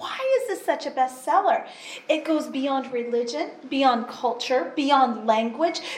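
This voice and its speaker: A woman speaks very slowly in a high voice with ordinary pitch variation, over noticeable background noise and audible room echo. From US, Pacific Northwest. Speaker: interpreter. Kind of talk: sermon. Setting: church.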